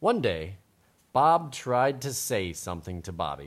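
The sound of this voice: The speaker reads in an unforced reading voice.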